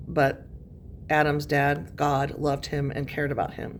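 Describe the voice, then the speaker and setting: There is audible room echo around a woman whose very deep, low voice carries vocal fry as she talks at a moderate pace. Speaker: high school English teacher. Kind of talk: recorded lesson. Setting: classroom. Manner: casual, many fillers.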